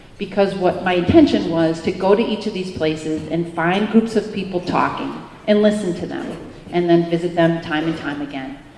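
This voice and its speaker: Speech with a Wisconsin accent at a moderate pace and ordinary pitch variation, amid audible room echo and noticeable background noise. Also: woman. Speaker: professor. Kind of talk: keynote speech.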